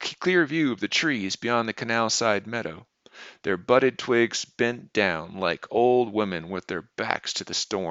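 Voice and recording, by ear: Lively intonation marks this reading aloud in a natural voice, set against a quiet background.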